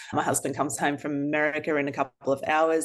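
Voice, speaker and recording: A woman's very deep, low voice in an Australian accent, at a very fast pace. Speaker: author. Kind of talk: interview.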